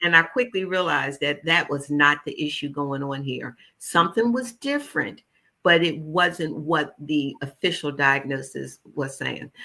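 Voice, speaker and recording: In a very clean recording with a silent background, a woman with an American accent speaks fairly slowly at a very deep, low pitch, her tone bright and sharp and her pitch variation ordinary. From US Northeast, West Philadelphia. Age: 70s. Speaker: holistic nutritionist. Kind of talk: interview. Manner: animated.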